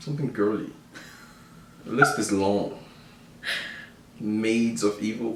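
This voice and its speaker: With a West African accent, a man talks at a fairly slow pace with fairly even intonation and long, frequent pauses. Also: medium pitch for a man. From Ivory Coast, raised in the Bronx. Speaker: vlogger's husband. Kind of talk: casual chat.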